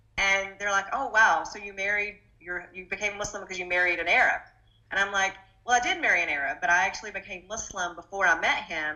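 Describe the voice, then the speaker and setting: A woman with an American accent talks at a very fast pace, her loudness swinging widely. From Arkansas, US South. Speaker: political candidate. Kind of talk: interview.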